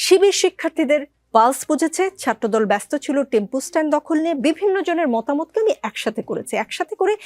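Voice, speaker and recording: Her high voice swings very widely in pitch, and the woman's sound is dry and close with no echo. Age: 40s. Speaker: TV talk show host. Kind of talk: TV talk show interview.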